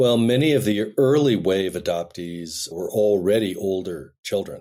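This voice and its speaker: A man's dark, mellow voice, fairly low in pitch, with lively intonation at a moderate pace. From US, Denver Colorado. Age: 60s. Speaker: filmmaker and adoptee. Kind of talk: podcast interview.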